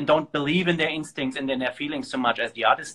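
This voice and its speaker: The speaker has a German accent and ordinary pitch variation. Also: man. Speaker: organization founder and host. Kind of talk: casual interview conversation. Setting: live stream from a phone.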